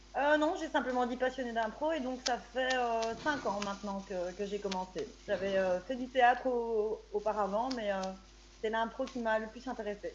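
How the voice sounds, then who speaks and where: In a normal speaking voice, a woman speaks at a fairly high pitch and moderate pace with ordinary pitch variation. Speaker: amateur improv actor. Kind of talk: casual chat.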